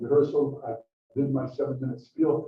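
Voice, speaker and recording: A man speaks at a fairly quick pace with a non-native accent. His pitch sits fairly high. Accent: foreign. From Brazil. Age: 60s. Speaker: museum volunteer and history speaker. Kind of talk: lecture.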